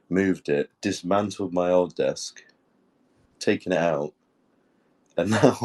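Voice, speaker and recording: In a British accent, a man talks at a fairly slow pace with long, frequent pauses. His fairly low pitch and fairly even intonation come through in a dry, close sound with no echo. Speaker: NFT community co-host. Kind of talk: casual chat.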